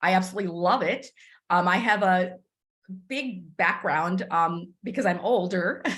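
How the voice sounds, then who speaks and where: A woman at medium pitch talks with ordinary pitch variation and audible room echo. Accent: American. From Texas, US (Cuban-born, arrived age five). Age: 60s. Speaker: business mentor. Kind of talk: mentoring talk. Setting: conference call.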